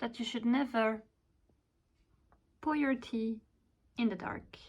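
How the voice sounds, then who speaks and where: A woman speaks with a non-native accent. Her intonation is fairly even. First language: not English. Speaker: vlogger and illustrator. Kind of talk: vlog narration. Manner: casual, with fillers.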